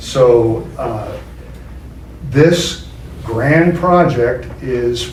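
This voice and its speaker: Over noticeable background noise and audible room echo, a man talks at a medium pitch with lively intonation. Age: 70s. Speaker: local property developer. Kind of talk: public meeting presentation. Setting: public meeting room. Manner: hesitant, many fillers.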